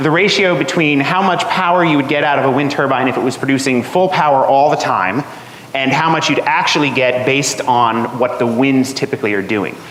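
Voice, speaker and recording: With an American accent, a man talks at a fairly quick pace in a fairly high pitch, his pitch varying in an ordinary way and his loudness very even, with noticeable background noise and audible room echo. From New Jersey. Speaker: atmospheric scientist. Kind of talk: lecture. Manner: halting, many fillers.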